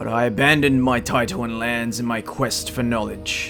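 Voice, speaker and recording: Putting on a character voice at a medium pitch, a man speaks with clear music in the background. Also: moderate pace. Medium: solo performance. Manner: haughty, contemptuous.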